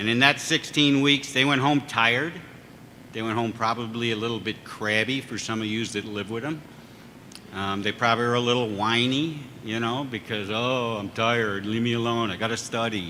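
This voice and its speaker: A man's plain, everyday voice, medium in pitch, with fairly even intonation and a moderate pace. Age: 60s. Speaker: fire service chief and instructor. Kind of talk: ceremony speech.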